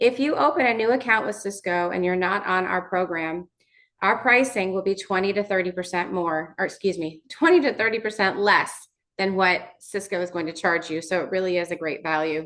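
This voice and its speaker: The woman talks at a fairly quick pace. Her pitch is medium, with ordinary pitch variation. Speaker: vendor sales representative. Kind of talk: webinar presentation. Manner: fast.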